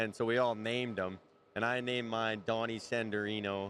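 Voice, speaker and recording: A man speaks in a plain, everyday voice at a medium pitch. His pace is moderate, with ordinary pitch variation. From Canada. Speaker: rodeo cowboy. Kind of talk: casual interview chat. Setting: live show at a stadium.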